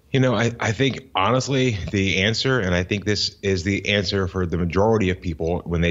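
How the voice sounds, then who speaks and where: With an American accent, a man speaks at a moderate pace in a very deep, low pitch with ordinary pitch variation. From US South, Florida (Tampa Bay area). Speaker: entrepreneur and business coach. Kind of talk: interview. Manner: repetitive, frequent restarts.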